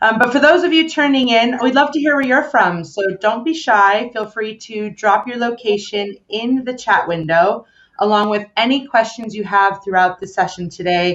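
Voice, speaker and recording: At a moderate pace, the speaker uses an ordinary speaking voice with lively intonation. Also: woman. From United States. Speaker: webinar host. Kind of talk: live webinar interview.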